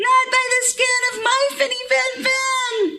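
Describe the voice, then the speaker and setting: Putting on a squeaky character voice at an extremely high pitch, a woman speaks at a fairly slow pace. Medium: read story.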